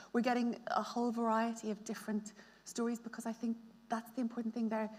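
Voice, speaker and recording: A woman rattles along at a very fast pace, her fairly high pitch held in monotone, flat intonation. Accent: Belfast. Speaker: novelist. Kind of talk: panel discussion. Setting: stage with audience.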